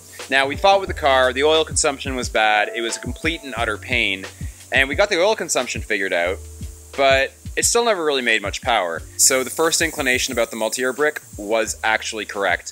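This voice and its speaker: A man at a fairly quick pace, with faint music in the background. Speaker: car builder vlogger. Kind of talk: casual vlog chat. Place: workshop. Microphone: phone near.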